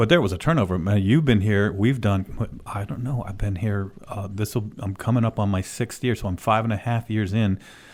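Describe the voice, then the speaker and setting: With hardly any pauses, a man of fairly low pitch speaks at a moderate pace in a plain, everyday voice with ordinary pitch variation, on a very clean recording with a silent background. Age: 50s. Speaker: orthopedic surgeon hosting a radio show. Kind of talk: casual radio chat.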